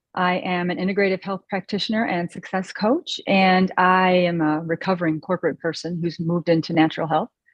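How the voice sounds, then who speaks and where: A woman with an American accent speaks in an ordinary speaking voice at medium pitch, with fairly even intonation, a fairly quick pace and hardly any pauses. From US Midwest, Chicago suburbs. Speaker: health coach. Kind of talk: self-introduction on video call. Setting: video call.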